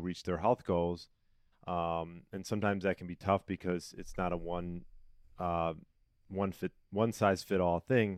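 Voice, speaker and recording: A man with an American accent speaks at a very deep, low pitch, fairly slowly and in a monotone, flat way, in a dry, close recording with no echo and a silent background. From Chicago area, US. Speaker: personal trainer and health coach. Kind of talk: casual interview.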